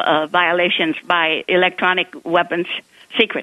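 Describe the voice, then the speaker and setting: Speech comes at a very slow pace over a quiet background, the sound dry with no echo. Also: woman. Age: 80s+. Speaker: talk show caller. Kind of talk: radio call-in. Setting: phone line. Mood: distressed, urgent. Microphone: phone line.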